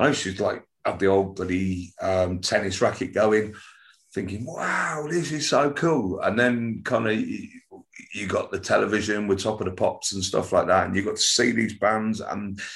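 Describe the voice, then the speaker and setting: A man speaks at a fairly low pitch with ordinary pitch variation. His voice is somewhat breathy, and his pace is fairly slow. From northern England. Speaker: punk musician. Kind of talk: interview.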